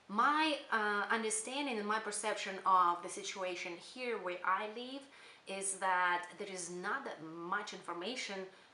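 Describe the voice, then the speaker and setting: A woman at medium pitch with ordinary pitch variation and a fairly slow pace, amid noticeable background noise and audible room echo. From Kyrgyzstan. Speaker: spiritual channel creator. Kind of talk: casual channel introduction monologue. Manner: hesitant, many fillers.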